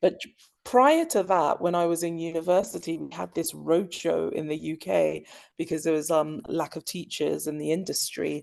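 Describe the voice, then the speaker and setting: Against a quiet background, a woman talks at a moderate pace in a London accent. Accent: British (London). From London, England. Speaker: school dean of students. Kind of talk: interview.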